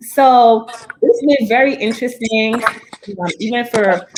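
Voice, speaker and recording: A woman with a fairly high pitch speaks in a Crucian accent. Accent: Crucian Caribbean. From US Virgin Islands (St. Croix). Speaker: podcast panelist. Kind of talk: casual chat.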